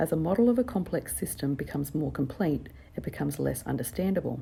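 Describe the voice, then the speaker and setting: Speaking at a fairly quick pace, a woman has vocal fry and a dark, mellow tone. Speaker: psychology student. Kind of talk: textbook reading. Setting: workplace with outside traffic noise. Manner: unpolished, occasional mistakes.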